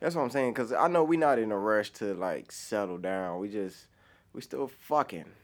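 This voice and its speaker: A man talks in an ordinary speaking voice, fairly low in pitch, with lively intonation. The pace is moderate and the recording very clean with a silent background. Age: 20s. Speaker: guest, podcaster. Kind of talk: casual chat.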